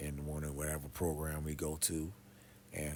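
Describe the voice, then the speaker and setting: Soft-spoken, the man has a very deep, low pitch. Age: 50s. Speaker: pastor. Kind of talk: casual monologue. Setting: quiet room.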